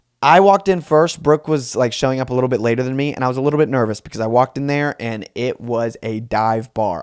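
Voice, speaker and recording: This man has a medium pitch, ordinary pitch variation, and an animated tone at a fairly quick pace. The recording is very clean with a silent background. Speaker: solo comedy podcast host. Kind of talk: casual storytelling. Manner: fast.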